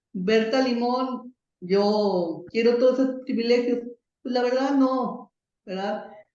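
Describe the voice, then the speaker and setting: A woman speaks in a fairly high pitch with ordinary pitch variation. Audible room echo surrounds her voice. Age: 60s. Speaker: software distributor, computing pioneer. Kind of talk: interview.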